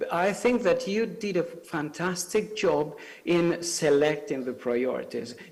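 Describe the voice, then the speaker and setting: A man with a high pitch speaks with an Italian accent over noticeable background noise. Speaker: civil society speaker. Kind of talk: panel talk. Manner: halting, many fillers.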